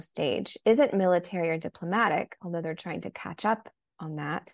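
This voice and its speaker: In an ordinary speaking voice, a woman with an American accent talks at a fairly low pitch and moderate pace, with ordinary pitch variation and a quiet background. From United States. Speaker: journalist and author. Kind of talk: interview.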